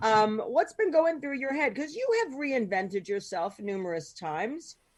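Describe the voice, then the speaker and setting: A loud, high-pitched woman's voice in an American accent, with very wide pitch swings at a moderate pace. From Philadelphia. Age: 50s. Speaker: podcast host. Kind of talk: casual chat. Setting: podcast.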